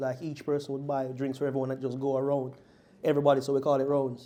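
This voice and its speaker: Talking at a very fast pace, a man delivers a dark, mellow tone at a fairly high pitch. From Jamaica. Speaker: group discussion participant. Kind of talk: casual chat. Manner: halting.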